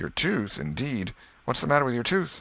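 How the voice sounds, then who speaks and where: A raspy, put-on character voice from a man at medium pitch, moderate in pace, with very wide pitch swings. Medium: read story. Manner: brisk, scolding.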